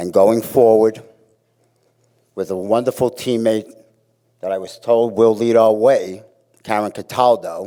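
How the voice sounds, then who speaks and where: In a Brooklyn accent, a man speaks at a fairly slow pace. His tone is dark and mellow, at medium pitch. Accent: New York (Brooklyn). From Brooklyn, New York. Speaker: fitness staff member. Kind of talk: memorial eulogy. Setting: auditorium memorial gathering.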